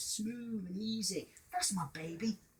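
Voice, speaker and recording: Drawling at a fairly slow pace, a man uses a high-pitched, put-on character voice. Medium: read story.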